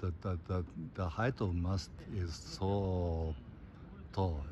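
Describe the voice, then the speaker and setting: This man's voice is very deep and low, somewhat breathy, with ordinary pitch variation. The sound is dry with no echo, though background noise is noticeable. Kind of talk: casual vlog chat. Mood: elated after long passage. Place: waterside. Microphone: phone near.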